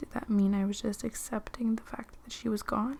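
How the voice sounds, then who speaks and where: This soft-spoken voice moves at a moderate pace. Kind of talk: soft-spoken ASMR book reading.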